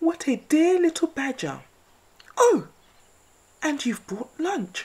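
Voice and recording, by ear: This is a put-on character voice with a dark, mellow tone. It moves slowly and makes big pitch swings. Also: woman, high pitch for a woman.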